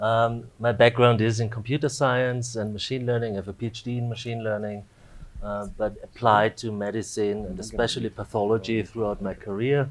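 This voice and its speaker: Speaking with an Austrian accent, a man moves at a fairly quick pace in a monotone, flat intonation. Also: medium pitch for a man. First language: German. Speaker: AI researcher, dean. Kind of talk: panel discussion.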